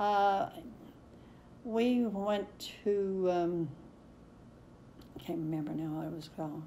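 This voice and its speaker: A woman's dark, mellow voice at a very slow pace, with long, frequent pauses, big swings in loudness, ordinary pitch variation and audible room echo. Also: medium pitch for a woman. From Kentucky, eastern. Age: 90s. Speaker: oral history interviewee. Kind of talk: oral history interview. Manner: halting, many fillers.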